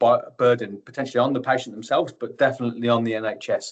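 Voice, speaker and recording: A man talks with a Birmingham accent. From Birmingham, England. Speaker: tissue viability nurse. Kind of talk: webinar presentation. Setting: online webinar.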